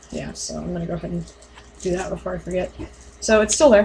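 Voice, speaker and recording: A woman talks very rapidly while clearly audible noise fills the background. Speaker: mask-making hobbyist vlogger. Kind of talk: tutorial. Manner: quiet; hesitant, many fillers.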